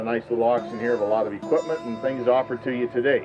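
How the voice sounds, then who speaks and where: A man talks fairly quickly, his voice sitting at a medium pitch. It rises and falls in an ordinary way while music plays behind him. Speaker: auctioneer. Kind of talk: auction opening announcement to a crowd. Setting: outdoors, live farm auction.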